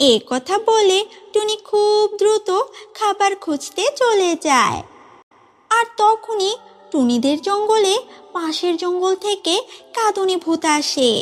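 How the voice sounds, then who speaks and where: A cartoonish character voice, pitched extremely high. It moves at a fairly slow pace. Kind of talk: children's fairy-tale narration. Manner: clear, steady.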